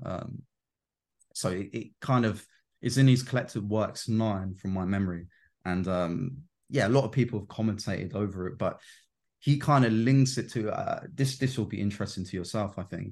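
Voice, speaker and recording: A man speaks at a moderate pace against a quiet background, in an ordinary speaking voice. His pitch is fairly low, with ordinary pitch variation. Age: 20s. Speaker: self-development coach on Jungian psychology. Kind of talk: casual interview chat.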